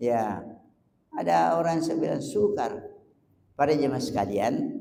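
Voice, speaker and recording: In a room with audible echo, a man with vocal fry speaks fairly slowly at a fairly high pitch, his voice making very wide pitch swings. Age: 70s. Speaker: preacher. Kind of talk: sermon.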